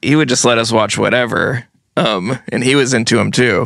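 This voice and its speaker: Speaking with an American accent and vocal fry, a man keeps a moderate pace and fairly even intonation. The recording is very clean, with a silent background. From US Northeast, Vermont and New Jersey. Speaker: musician. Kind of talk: casual chat.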